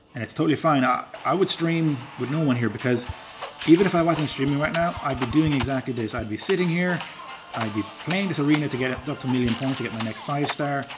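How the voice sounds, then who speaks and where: Over music in the background, the speech moves at a very fast pace with ordinary pitch variation. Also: man, fairly high pitch for a man. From rural Ireland. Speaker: gaming streamer. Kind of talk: live stream commentary. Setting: live stream while playing a game. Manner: casual, hesitant with fillers.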